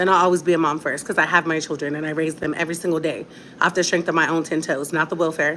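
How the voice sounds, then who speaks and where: A woman with a fairly low pitch talks at a very fast pace in an animated tone, with noticeable background noise behind her. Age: adult. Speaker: online content creator. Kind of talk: casual livestream rant. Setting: at home, late at night.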